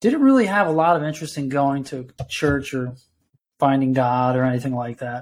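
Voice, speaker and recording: Fairly quick and with an American accent, this is a plain, everyday voice with ordinary pitch variation. The recording is very clean, with a silent background. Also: man, fairly high pitch for a man. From New York. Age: 50s. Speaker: retired Coast Guard veteran. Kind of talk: casual chat.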